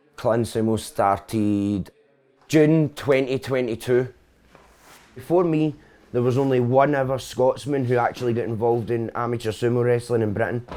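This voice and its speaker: Fairly even in intonation, a man speaks at a medium pitch in a dark, mellow tone. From Scotland, Coatbridge (Lanarkshire). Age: 30s. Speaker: sumo club president and coach. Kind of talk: documentary interview.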